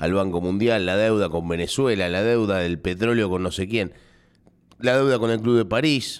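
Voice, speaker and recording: In a very clean recording with a silent background, a man with a fairly low pitch speaks in an animated tone. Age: 30s. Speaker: radio host. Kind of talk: radio editorial monologue.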